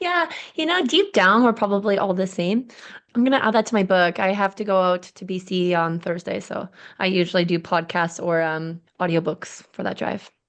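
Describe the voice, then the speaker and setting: Medium-pitched woman with an East Coast Canadian accent, ordinary pitch variation, a moderate pace, and a quiet background. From Canadian East Coast. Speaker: podcast host and realtor. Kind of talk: podcast interview.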